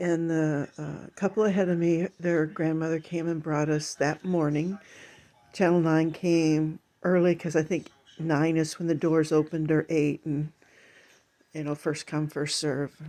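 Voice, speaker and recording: Against a quiet background, a dark, mellow voice speaks fairly slowly in a monotone, flat way. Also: woman, very deep, low pitch for a woman. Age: 70s. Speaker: video diarist. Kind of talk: personal testimony monologue. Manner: halting, many fillers.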